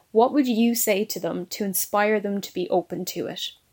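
A woman at a medium pitch speaks in an ordinary speaking voice. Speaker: podcast host. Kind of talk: interview with prepared questions.

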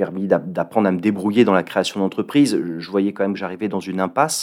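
A man talks at a fairly quick pace. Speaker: entrepreneur. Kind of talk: interview. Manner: halting.

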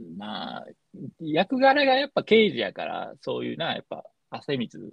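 The voice comes at a moderate pace in a dry, close sound with no echo. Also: man. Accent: Kansai. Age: 40s. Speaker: podcast co-host. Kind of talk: casual chat.

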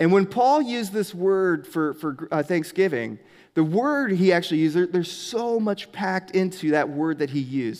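The intonation is lively, on a very clean recording with a silent background. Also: man. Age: 30s. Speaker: pastor. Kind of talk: sermon. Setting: church.

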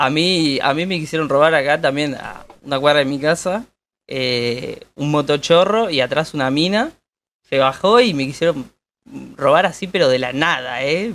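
A man with an Argentine accent talks at a fairly slow pace in a fairly high voice with ordinary pitch variation. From Argentina. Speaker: podcast co-host. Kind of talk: casual chat.

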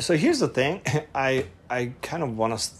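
A man in a Hungarian accent speaks at a medium pitch. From Hungary, Budapest. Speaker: production designer and former model. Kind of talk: casual interview chat. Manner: halting.

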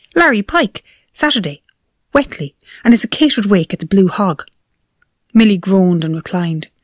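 Somewhat breathy and at a fairly quick pace, the voice swings very widely in pitch, with long, frequent pauses in a dry, close sound with no echo. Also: woman, medium pitch for a woman. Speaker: narrator. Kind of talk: reading aloud.

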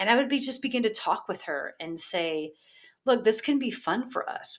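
Very wide pitch swings at a moderate pace, in a very clean recording with a silent background. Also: woman. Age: 40s. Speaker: life coach podcast host. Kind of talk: motivational solo monologue. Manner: casual, filler-heavy.

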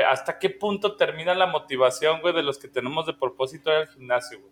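His pitch shifts in an ordinary way as the man talks at a medium tempo. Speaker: podcast co-host. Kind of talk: casual chat.

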